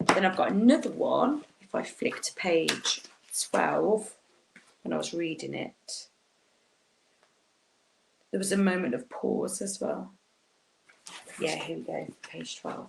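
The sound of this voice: A woman speaks low in pitch, with vocal fry and lively intonation. Her pace is slow, broken by long, frequent pauses.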